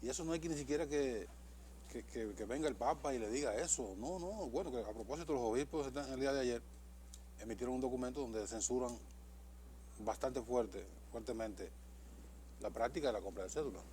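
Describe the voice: A man talks at a fairly quick pace and medium pitch. His pitch varies in an ordinary way, with long, frequent pauses.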